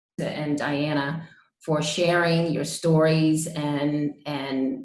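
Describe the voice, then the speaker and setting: Audible room echo surrounds a woman whose very deep, low voice stays monotone and flat. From Baltimore. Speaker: city government official, panelist. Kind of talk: panel talk.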